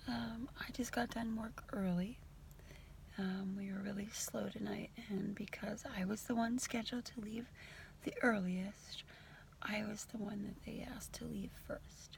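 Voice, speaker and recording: Noticeable background noise sits behind a woman speaking fairly slowly at a medium pitch with fairly even intonation. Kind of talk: casual talk to camera. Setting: car. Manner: reflective, encouraging, conversational.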